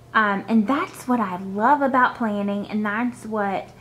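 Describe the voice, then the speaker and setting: A woman speaks at a moderate pace with ordinary pitch variation. Light background noise sits behind her. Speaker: planner hobby vlogger. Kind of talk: casual vlog chat.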